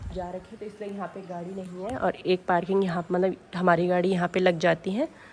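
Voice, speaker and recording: Against noticeable background noise, the voice moves at a moderate pace with monotone, flat intonation. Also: woman. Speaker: vlogger. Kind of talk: home tour vlog. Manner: casual, filler-heavy.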